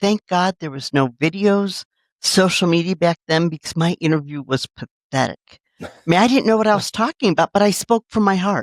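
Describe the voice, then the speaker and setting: A woman talks in a plain, everyday voice at a medium pitch and moderate pace, with lively intonation. The sound is dry and close with no echo, a very clean recording over a silent background. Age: 60s. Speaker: city government HR executive. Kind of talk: interview.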